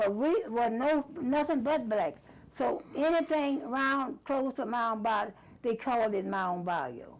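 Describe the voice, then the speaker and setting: A woman's voice moves through very wide pitch swings. Noticeable background noise sits behind her. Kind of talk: oral history interview answer.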